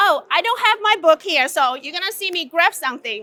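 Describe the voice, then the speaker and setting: In a raised, projected voice, a woman speaks with an animated tone at an extremely high pitch, the sound dry and close with no echo. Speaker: conference speaker. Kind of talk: conference talk. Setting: stage with audience. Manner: loud.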